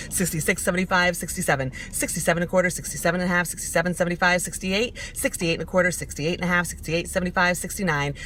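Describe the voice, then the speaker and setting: A woman with an American accent speaks very fast at a fairly low pitch, with hardly any pauses. Her intonation is fairly even, and noticeable background noise is present. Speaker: auctioneer. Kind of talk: auction number scale practice. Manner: fast, rhythmic.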